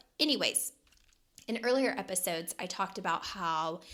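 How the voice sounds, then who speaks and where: A woman speaks in a plain, everyday voice with ordinary pitch variation. Her pace is moderate, and the recording is very clean with a silent background. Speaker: podcast host and life coach. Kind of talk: solo podcast talk. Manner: casual, with fillers and repetitions.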